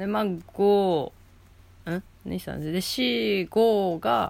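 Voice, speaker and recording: Woman with a fairly low-pitched voice. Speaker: solo podcaster. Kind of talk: casual monologue. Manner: speaking quietly. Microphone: a bit far from the mic.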